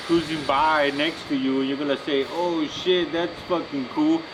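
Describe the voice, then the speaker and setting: At a fairly slow pace, a man with a fairly high voice speaks over noticeable background noise. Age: middle-aged. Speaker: custom car builder. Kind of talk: casual chat. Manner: casual, slangy.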